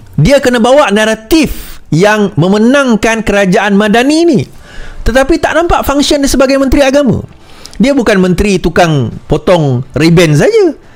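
There is noticeable background noise as a man speaks at a moderate pace in a high pitch. His loudness stays very even while his pitch swings very widely. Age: 40s. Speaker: political commentator. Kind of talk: political commentary monologue.

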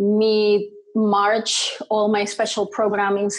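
Against a quiet background, a woman talks. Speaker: interview guest. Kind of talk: interview answer. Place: home room. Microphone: earbuds.

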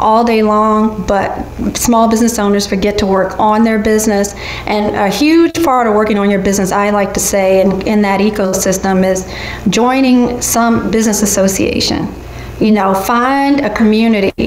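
A woman's voice at a moderate pace, fairly even in intonation and very even in loudness, with audible room echo and light background noise. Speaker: guest. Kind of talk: interview answer. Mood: warm, friendly advice. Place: home room.

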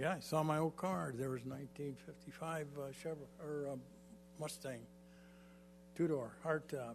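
Over music in the background and with audible room echo, a man with an American accent speaks at a moderate pace in a fairly high voice, leaving long, frequent pauses. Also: ordinary pitch variation. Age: 80s+. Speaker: mayor. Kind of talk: council meeting remarks. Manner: halting.

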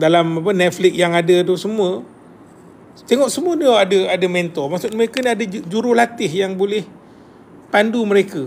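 A man with a Malaysian accent at a moderate pace, ordinary pitch variation, long, frequent pauses, and light background noise. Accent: Malaysian Malay. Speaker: property agent and mentor. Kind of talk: live stream chat with viewers. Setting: live video stream. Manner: animated, chatty. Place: home room. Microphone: phone near.

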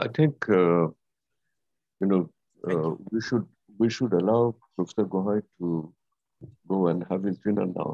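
Against a quiet background, a man with a very deep, low pitch speaks with ordinary pitch variation and long, frequent pauses. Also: fairly slow pace. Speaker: seminar organizer and moderator. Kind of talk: academic seminar discussion. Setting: video call. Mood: thoughtful, conversational. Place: home room. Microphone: video call.

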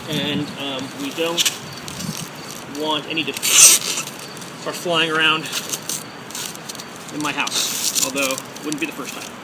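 Against clear background noise, a man talks slowly at a fairly high pitch, with long, frequent pauses.

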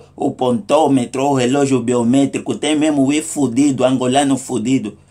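A dark, mellow tone at a moderate pace, with fairly even intonation and hardly any pauses. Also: man. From Angola. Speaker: comedic vlogger. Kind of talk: comic monologue. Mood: humorous, mock indignant. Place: home room. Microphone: phone near.

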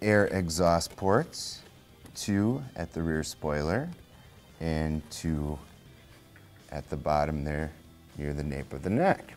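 Faint music plays behind a man with a very deep, low voice. He speaks at a very slow pace with long, frequent pauses. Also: ordinary pitch variation. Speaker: presenter. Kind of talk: product review presentation. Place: shop. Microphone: lapel.

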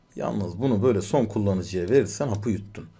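A man speaks at a moderate pace. His pitch varies in an ordinary way, and audible room echo surrounds it. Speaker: programming instructor. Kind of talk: live coding lecture. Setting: live stream. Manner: many filler sounds.

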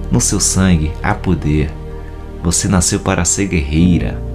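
Clear music plays in the background while a man with a very deep, low pitch talks at a fairly slow pace. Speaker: voice-over announcer. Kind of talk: motivational message. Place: studio. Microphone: studio mic.

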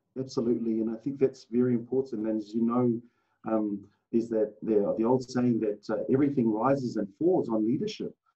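Someone with a New Zealand accent talks at a fairly quick pace with fairly even intonation against a quiet background. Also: man, medium pitch for a man. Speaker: former rugby player and rugby administrator; rugby coach guest. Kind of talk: casual interview. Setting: video call. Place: meeting room. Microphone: video call.

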